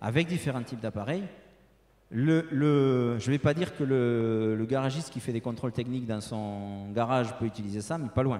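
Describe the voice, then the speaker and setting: With a southern French accent, this man has a medium pitch, a dark, mellow tone, ordinary pitch variation and a moderate pace. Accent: southern French (Toulouse). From Toulouse, southern France. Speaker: industrial technology sales representative. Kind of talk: conference presentation and Q&A. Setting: conference room with audience. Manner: hesitant, many fillers and repetitions.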